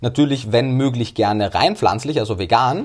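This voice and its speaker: In an Austrian accent, a somewhat breathy man talks at a fairly quick pace on a very clean recording with a silent background. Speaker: nutrition scientist. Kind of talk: interview.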